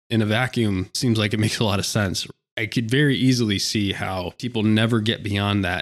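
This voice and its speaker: Speaking at a fairly quick pace, a man uses an ordinary speaking voice. His pitch is fairly low and his intonation fairly even. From rural Pennsylvania. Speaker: podcast host. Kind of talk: casual political discussion.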